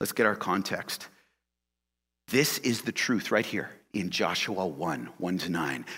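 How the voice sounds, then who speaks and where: A man's voice sits very deep and low, bright and sharp in tone, with vocal fry. He talks at a fairly slow pace with long, frequent pauses. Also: lively intonation. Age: 40s. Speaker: pastor. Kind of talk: sermon. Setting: church. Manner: animated.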